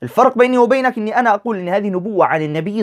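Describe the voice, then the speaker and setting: A man's fairly quick, lively-toned speech in a dry, close sound with no echo. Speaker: religious debater. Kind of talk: debate. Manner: Modern Standard Arabic.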